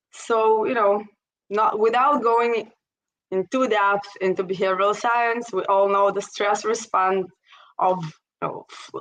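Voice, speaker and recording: A woman with an Israeli accent, medium in pitch, at a fairly slow pace with fairly even intonation. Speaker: startup strategist and investor. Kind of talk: interview.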